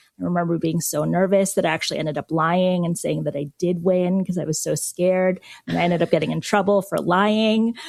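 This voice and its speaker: A woman with an American accent speaks in a plain, everyday voice at a fairly low pitch. She talks at a fairly quick pace with hardly any pauses and fairly even intonation. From Philippines, then US from age eight. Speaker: media executive. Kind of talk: interview.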